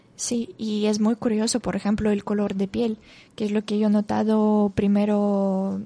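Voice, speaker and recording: Speaking with a Russian accent, a woman with a medium-pitched voice and a dark, mellow tone talks at a fairly slow pace over a quiet background. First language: Russian (speaking Spanish). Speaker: Spanish teacher and volunteer. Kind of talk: radio interview. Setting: radio studio.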